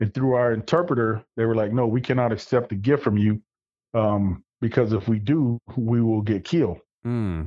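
A man's medium-pitched voice with an Arkansas accent, ordinary pitch variation and very even loudness. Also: moderate pace. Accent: US South (Arkansas). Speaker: military veteran. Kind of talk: casual interview. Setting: phone or video call.

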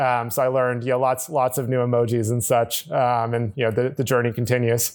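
At a fairly quick pace, a man talks with monotone, flat intonation, very even loudness and hardly any pauses. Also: medium pitch for a man. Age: 30s. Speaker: tech company executive, former management consultant. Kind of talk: interview. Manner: hesitant, many fillers.

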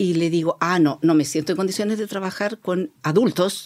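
A woman with a plain, everyday voice and a fairly low pitch speaks at a moderate pace with ordinary pitch variation in a very clean recording with a silent background. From Chile, grew up in Sewell mining camp (O'Higgins region). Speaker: social worker. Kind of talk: interview.

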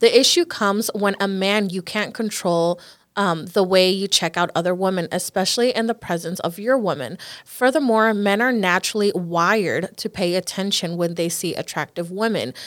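A woman talks at a moderate pace with ordinary pitch variation and a normal speaking voice. The recording is very clean, with a silent background. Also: medium pitch for a woman. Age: 20s. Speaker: podcast host. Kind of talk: casual chat.

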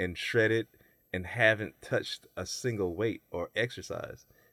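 A man with an American accent and an ordinary speaking voice talks at a fairly slow pace with fairly even intonation. The recording is very clean, with a silent background and a dry, close sound with no echo. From US South. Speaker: bodybuilder and personal trainer. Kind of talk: casual chat.

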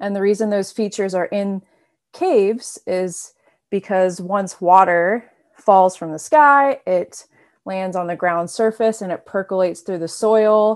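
Over a quiet background, a normal speaking voice with an American accent shows ordinary pitch variation. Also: woman, medium pitch for a woman. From North Carolina. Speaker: PhD student, geoscientist. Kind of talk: interview.

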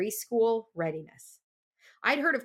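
A woman's fairly high, lively voice with a Midwestern accent on a very clean recording with a silent background. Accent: General American (Midwest). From US Midwest (Iowa). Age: 50s. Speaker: speech language pathologist and podcast host. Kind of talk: casual chat. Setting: home recording studio.

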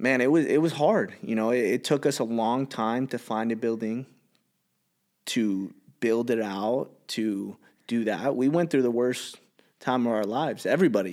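A man with a Californian accent, medium pitch and ordinary pitch variation, at a moderate pace, on a very clean recording with a silent background. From Los Angeles, San Fernando Valley. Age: 30s. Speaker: gym owner and entrepreneur. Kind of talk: casual chat.

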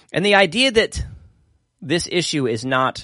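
Recorded dry and close with no echo against a quiet background, a man speaks at a high pitch in a bright, sharp tone. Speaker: pastor and Bible study livestream host. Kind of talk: livestream Bible study talk. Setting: livestream with live chat comments. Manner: casual, rambling with fillers.

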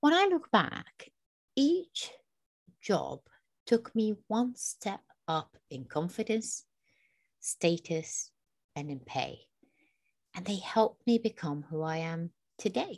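Speaking at a very slow pace with long, frequent pauses, a woman of medium pitch makes very wide pitch swings and big swings in loudness. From Iraq. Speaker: podcast co-host. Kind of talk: casual chat.

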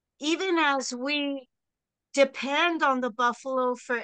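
A woman with an American accent uses a raised, projected voice, high and bright with a sharp tone, at a very slow pace. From Texas. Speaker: buffalo rancher and nonprofit founder. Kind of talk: interview.

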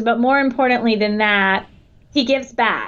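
A woman talks with a Southern US accent. Her intonation stays fairly even. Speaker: athletic academic advisor. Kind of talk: interview. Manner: halting.

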